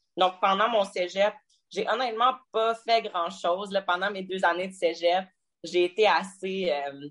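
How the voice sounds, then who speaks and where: Against a quiet background, a woman with a Quebec accent speaks very slowly at medium pitch with ordinary pitch variation. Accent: Québécois French. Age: 20s. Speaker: fitness competitor. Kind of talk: interview.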